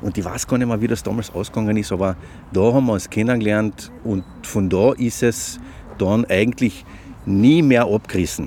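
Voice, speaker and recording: Clear background noise runs beneath a voice moving at medium speed, its pitch varying normally. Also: man, fairly low pitch for a man. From Austria, Carinthia (Klagenfurt). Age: 50s. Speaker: journalist. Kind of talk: casual interview chat. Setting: outdoors on a park bench.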